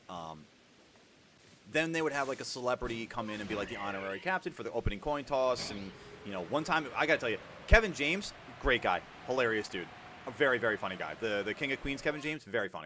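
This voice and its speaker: Talking at a very fast pace broken by long, frequent pauses, a man with an American accent uses a medium pitch and very wide pitch swings. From New York. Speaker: gaming streamer. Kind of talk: casual chat.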